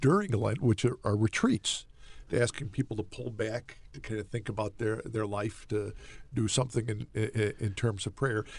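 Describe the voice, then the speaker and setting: Somewhat breathy, a man speaks at a moderate pace. The sound is dry with no echo. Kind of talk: casual radio interview. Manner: animated, laughs often. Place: studio. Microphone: studio mic.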